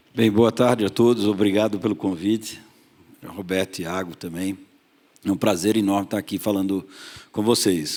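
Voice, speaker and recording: On a very clean recording with a silent background, a man with a fairly low pitch speaks at a moderate pace with fairly even intonation and long, frequent pauses. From Pernambuco, northeast Brazil. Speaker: investment fund partner. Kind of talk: panel discussion.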